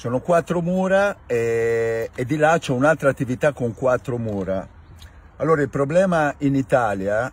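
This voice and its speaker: A man speaks at a fairly slow pace, somewhat breathy, with lively intonation. The sound is dry with no echo. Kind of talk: casual explanatory rant. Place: car.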